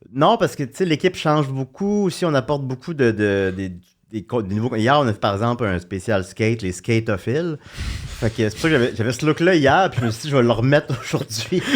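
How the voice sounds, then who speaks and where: Lively intonation from a man speaking at a fairly quick pace. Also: medium pitch for a man. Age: 40s. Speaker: comedian and podcaster. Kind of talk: casual chat. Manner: fast.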